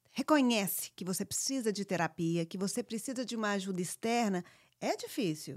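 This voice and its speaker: The recording is very clean, with a silent background and a dry, close sound with no echo. A normal speaking voice moves at a moderate pace with lively intonation. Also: woman, medium pitch for a woman. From born in US, raised largely in Brazil. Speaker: podcast co-host. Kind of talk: casual chat.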